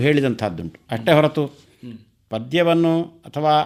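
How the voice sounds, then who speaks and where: Intonation rises and falls in a lively way. The speaker is a man, and the recording is very clean with a silent background. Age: 60s. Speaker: retired Kannada scholar and teacher. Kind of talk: radio interview, reminiscence.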